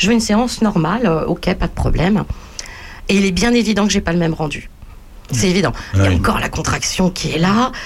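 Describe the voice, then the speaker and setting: Over noticeable background noise, a woman talks at a fairly quick pace with long, frequent pauses. Her loudness stays very even and her pitch varies in an ordinary way. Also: medium pitch for a woman. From Paris region. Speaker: artist and photographer. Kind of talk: casual radio chat.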